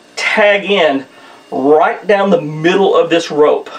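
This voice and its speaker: A man with a Southern US accent, high in pitch, ordinary pitch variation, a very slow pace, and noticeable background noise. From US South, southern Missouri. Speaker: outdoors video creator, saddle hunter. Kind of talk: casual tutorial. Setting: indoors, archery room at home. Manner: casual, repetitive with false starts.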